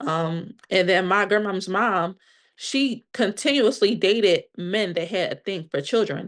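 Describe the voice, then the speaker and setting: An unremarkable speaking voice from a woman with an American accent, medium in pitch with ordinary pitch variation, at a fairly slow pace against a quiet background. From Pennsylvania, Delaware County. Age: 30s. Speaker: podcast guest sharing personal trauma story. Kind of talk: interview testimony.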